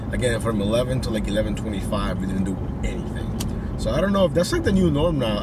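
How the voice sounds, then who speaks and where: Over loud background noise, a man talks at a moderate pace, and the sound is dry with no echo. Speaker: delivery driver vlogger. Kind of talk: casual vlog chat. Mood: relaxed, slightly frustrated. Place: car. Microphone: phone near.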